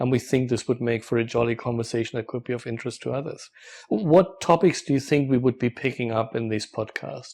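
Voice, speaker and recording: Speaking at a fairly quick pace with a German accent, a man uses a medium pitch and ordinary pitch variation. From Germany. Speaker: professor. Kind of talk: casual chat.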